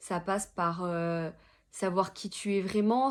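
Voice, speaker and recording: A woman talks at a medium pitch. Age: 20s. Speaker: social media consultant, entrepreneur. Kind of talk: interview monologue. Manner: hesitant, many filler words.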